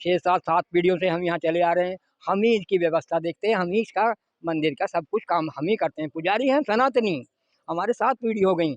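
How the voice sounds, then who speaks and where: Heard in a dry, close sound with no echo, a man with a high pitch talks at a moderate pace with ordinary pitch variation. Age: 60s. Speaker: temple priest. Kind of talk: interview statement. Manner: halting.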